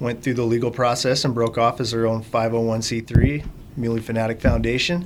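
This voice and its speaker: A man talks at a moderate pace with an American accent and a medium pitch. Noticeable background noise sits behind him. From Fremont County, Wyoming. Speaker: hunter and conservation volunteer. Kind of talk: casual interview.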